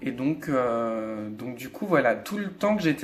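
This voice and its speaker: Music in the background under a man's lively intonation and fairly slow pace. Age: 20s. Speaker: vlogger. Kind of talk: personal testimony vlog. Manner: hesitant, many fillers.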